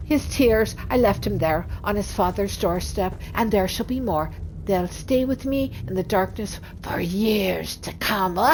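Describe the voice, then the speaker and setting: A cackling, put-on character voice at a middle pitch comes at a fairly slow pace over clear background noise. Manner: menacing, theatrical, ending in a cackling laugh.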